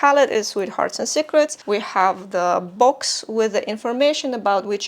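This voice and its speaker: A woman speaks at a moderate pace in a fairly high voice with a non-native accent. Her pitch moves in an ordinary way, and background noise is noticeable. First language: not English. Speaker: beauty reviewer. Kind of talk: product review. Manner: casual, with fillers.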